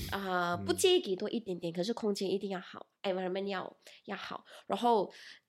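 A woman of medium pitch speaks at a fairly quick pace with monotone, flat intonation. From Malaysia. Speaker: e-commerce employee. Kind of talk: casual chat.

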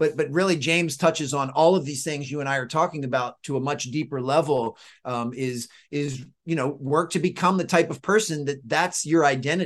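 In an unremarkable speaking voice, a man talks at a fairly quick pace with fairly high pitch and ordinary pitch variation against a quiet background. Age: 40s. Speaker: author and performance coach. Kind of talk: interview conversation.

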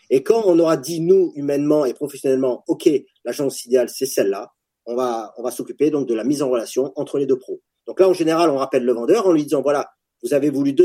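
A man speaks fairly quickly at a fairly high pitch with ordinary pitch variation. His tone is dark and mellow. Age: 40s. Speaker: startup founder, former special forces soldier. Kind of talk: casual interview.

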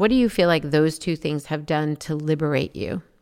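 A woman speaks with a very deep, low pitch. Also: very clean recording, silent background. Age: 50s. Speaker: podcast host. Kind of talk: interview.

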